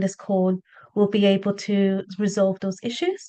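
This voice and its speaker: A woman with a British accent at a moderate pace. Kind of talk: event housekeeping announcements. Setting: Zoom webinar.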